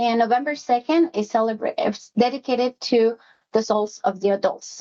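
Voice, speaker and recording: A woman with a high pitch speaks in a Spanish accent. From Mexico City, moved to US at fifteen. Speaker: executive assistant. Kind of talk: workplace presentation. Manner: hesitant, many fillers.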